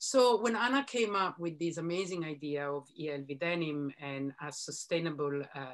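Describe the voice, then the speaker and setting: Against a quiet background, a woman speaks with lively intonation. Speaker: editor and broadcaster interviewing a designer. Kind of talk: panel conversation. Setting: video call. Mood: warm, reflective. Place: home room. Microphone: video call.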